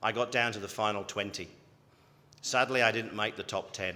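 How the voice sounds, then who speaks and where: Speaking with a British accent, a man has a fairly low pitch and a bright, sharp tone. He talks at a fairly quick pace. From UK. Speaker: health service chief executive. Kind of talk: graduation address. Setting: ceremony hall with audience.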